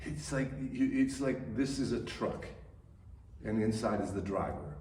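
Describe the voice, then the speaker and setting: Recorded with audible room echo and noticeable background noise, a man is speaking. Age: 70s. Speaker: stage actor. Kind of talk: radio interview. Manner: halting, many repetitions and fillers.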